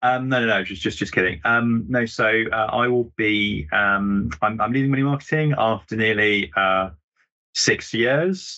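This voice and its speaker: Fairly slow delivery in an ordinary speaking voice, its pitch varying in a typical way. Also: man, medium pitch for a man. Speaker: news editor. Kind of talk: casual chat.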